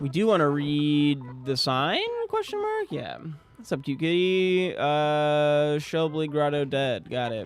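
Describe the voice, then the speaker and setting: With music in the background, a man speaks very slowly at a fairly high pitch, using ordinary pitch variation. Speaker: gaming streamer. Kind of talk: live gameplay commentary. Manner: quiet, low-key; casual, relaxed.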